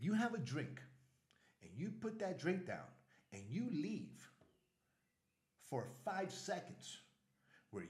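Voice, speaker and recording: Very slowly and with an American accent, a man speaks in a high pitch with very wide pitch swings, with audible room echo. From US Northeast, Brooklyn, New York. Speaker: travel vlogger. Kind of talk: casual vlog commentary. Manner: animated.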